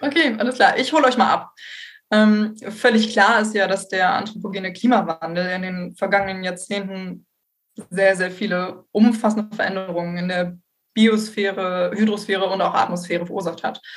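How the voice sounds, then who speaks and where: This woman's voice is somewhat breathy and medium in pitch. She keeps a moderate pace and ordinary pitch variation. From northern Germany, Bremen area. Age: 20s. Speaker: environmental engineer, recent graduate. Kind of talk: expert interview.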